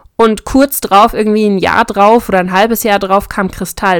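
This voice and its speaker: A woman's medium-pitched voice at a moderate pace. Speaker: podcast host. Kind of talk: casual chat.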